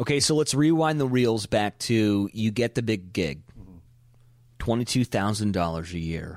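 This man speaks with an American accent, his fairly low voice moving in a lively way at a moderate pace. The recording is very clean, with a silent background. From California. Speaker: podcast host and radio DJ. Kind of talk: casual interview. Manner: animated.

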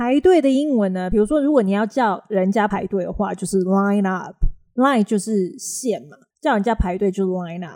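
A woman's fairly quick speech at a medium pitch, dark and mellow in tone, with ordinary pitch variation and big swings in loudness. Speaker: English teacher and podcast host. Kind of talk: casual chat.

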